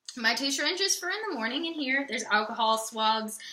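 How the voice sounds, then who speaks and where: In a raised, projected voice, a woman speaks with a high pitch and a bright, sharp tone. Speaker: patient living on intravenous nutrition. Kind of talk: casual talk to camera. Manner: rambling, easily side-tracked.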